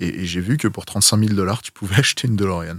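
With a normal speaking voice and fairly low pitch, a man talks at a fairly quick pace with ordinary pitch variation on a very clean recording with a silent background. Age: 30s. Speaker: film vehicle collector. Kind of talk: casual chat.

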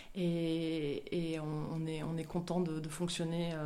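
A woman speaks in a monotone with flat intonation, her tone dark and mellow and her pitch fairly low. Audible room echo surrounds her voice. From France, Marseille. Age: 30s. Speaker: professional sailor. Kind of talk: interview testimony. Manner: halting, many hesitations.

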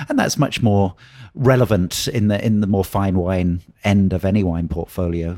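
The voice has a British accent and a dark, mellow tone. It moves at a moderate pace with ordinary pitch variation. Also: man, fairly low pitch for a man. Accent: British, clearly audible. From southern England, Oxford. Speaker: wine educator. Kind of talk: interview. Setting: hotel, in person.

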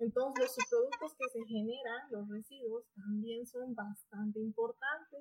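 Speaking at a fairly slow pace with hardly any pauses, a woman shows ordinary pitch variation in a dry, close sound with no echo. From Bolivia, Potosí. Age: 20s. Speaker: doctoral researcher in biotechnology. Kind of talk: interview.

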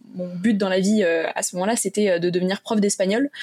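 A woman with a dark, mellow tone and medium pitch speaks at a fairly quick pace with fairly even intonation. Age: 20s. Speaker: podcast hosting company employee. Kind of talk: interview.

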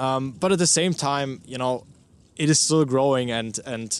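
Against a quiet background, a man with a medium-pitched voice speaks with fairly even intonation. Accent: German. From Austria, Vienna. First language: German. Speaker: news reporter. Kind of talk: interview. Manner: halting, many fillers.

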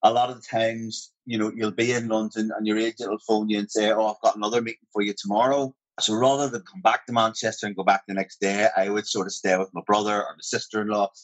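Speaking very fast with hardly any pauses, a man with a Northern Irish accent keeps a fairly low pitch and fairly even intonation while his loudness swings widely. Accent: Northern Irish (Armagh). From Northern Ireland, Portadown. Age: 40s. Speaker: actor. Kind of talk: casual interview chat.

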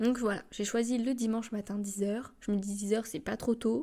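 Her fairly high, somewhat breathy voice has a dark, mellow tone, and this woman keeps a fairly even intonation at a moderate pace. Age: 20s. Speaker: podcaster and communications student. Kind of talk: casual monologue. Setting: home recording alone. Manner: hesitant.

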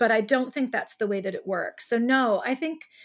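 A woman with a Midwestern US accent speaks with ordinary pitch variation on a very clean recording with a silent background. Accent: US Midwest. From Ohio. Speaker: poet. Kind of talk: casual chat.

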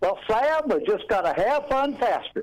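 Man doing a put-on character voice in a drawling Southern US accent, extremely high pitch with very wide swings, moderate pace

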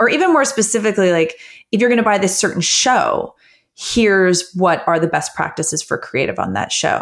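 A woman with an unremarkable speaking voice talks fairly quickly at a medium pitch with lively intonation, on a very clean recording with a silent background. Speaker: advertising executive. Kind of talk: interview answers about business.

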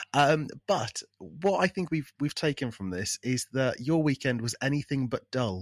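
In an English accent, a man speaks fairly slowly with lively intonation, the sound dry and close with no echo. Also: medium pitch for a man, hardly any pauses. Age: 30s. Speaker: podcast co-host. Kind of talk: casual chat.

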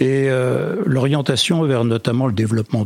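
Somewhat breathy, a man speaks at a moderate pace in a dry, close sound with no echo. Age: 60s. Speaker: federation president, social enterprise leader. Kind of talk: interview. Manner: hesitant, many fillers.

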